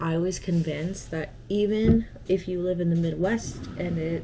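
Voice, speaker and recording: Over noticeable background noise, a woman talks in a fairly low voice. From Arizona. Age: 20s. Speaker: lifestyle vlogger. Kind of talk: casual vlog chat. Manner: chatty, rambling with fillers.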